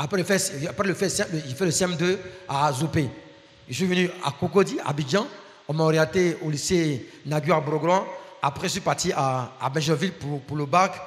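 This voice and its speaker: Fairly high male pitch at a moderate pace, with ordinary pitch variation over noticeable background noise. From Ivory Coast. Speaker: guest preacher and professor. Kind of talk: sermon.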